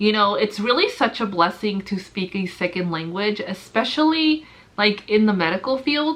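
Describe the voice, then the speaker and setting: In a Spanish accent, a woman with a medium pitch speaks at a moderate pace with lively intonation. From US, Mexican-American family. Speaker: nurse vlogger. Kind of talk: casual vlog talk. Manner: sometimes jumbled words, hesitant.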